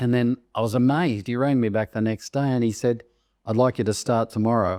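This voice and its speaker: A dark, mellow tone at a fairly quick pace, with fairly even intonation and very even loudness, in a dry, close sound with no echo over a quiet background. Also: man, medium pitch for a man. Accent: Australian. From Australia, Sydney Northern Beaches. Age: 70s. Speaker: real estate agency founder. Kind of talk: interview.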